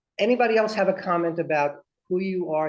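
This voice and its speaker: His pitch varies in an ordinary way. A man is speaking at a fairly quick pace. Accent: Brooklyn. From Brooklyn, New York. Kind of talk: interactive workshop.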